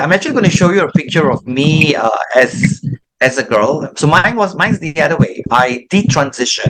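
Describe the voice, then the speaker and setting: A man with a normal speaking voice, fairly high pitch, lively intonation, and a moderate pace. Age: 50s. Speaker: ex-transgender pastor. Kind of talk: testimony.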